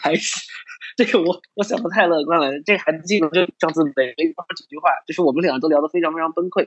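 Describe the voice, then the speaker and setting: A male speaker talks at a fairly high pitch and a very fast pace. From China, Suzhou. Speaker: study-abroad counselor. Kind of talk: casual chat.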